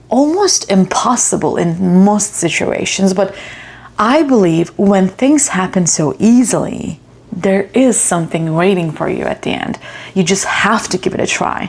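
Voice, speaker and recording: Noticeable background noise under a woman's fairly slow speech. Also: medium pitch for a woman, ordinary pitch variation. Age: 30s. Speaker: vlogger, international student. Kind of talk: personal vlog monologue. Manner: emotional, reflective.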